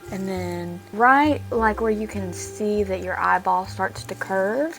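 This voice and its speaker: A woman's fairly slow speech with music in the background. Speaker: cosplay content creator. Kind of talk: makeup tutorial with casual talk.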